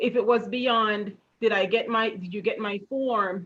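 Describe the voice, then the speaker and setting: Speaking with a slight Jamaican accent, a woman uses a fairly high pitch and fairly even intonation. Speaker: retirement account educator. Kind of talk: interview.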